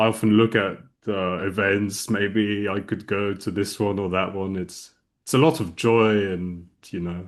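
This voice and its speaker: A man with a British accent, fairly low pitch and fairly slow pace. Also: fairly even intonation. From England (Reading, near London), two-language childhood. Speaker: non-duality speaker. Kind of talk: casual chat. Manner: halting, many fillers.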